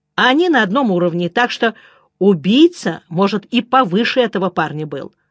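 Lively intonation in plain reading aloud.

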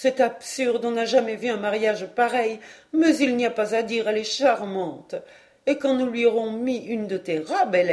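Simple reading aloud

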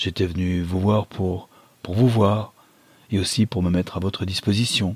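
This is a natural reading voice. The intonation stays fairly even.

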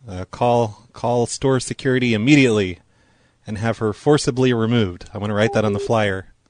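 This man has a plain, everyday voice. He talks at a fairly quick pace with fairly even intonation. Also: medium pitch for a man. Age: 40s. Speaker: prank call radio host. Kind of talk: prank phone call show. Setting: phone call.

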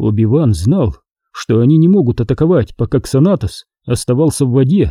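Lively intonation in plain reading aloud, quiet background behind it

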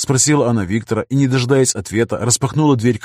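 Someone doing a plain reading aloud.

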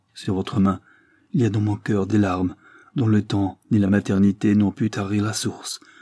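An unforced reading voice is heard.

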